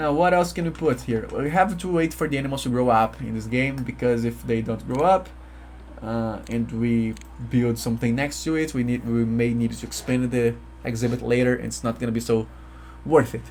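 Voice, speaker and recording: A man with a Portuguese accent speaks at a fairly quick pace. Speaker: gaming YouTuber. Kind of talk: let's play commentary. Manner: halting, self-correcting.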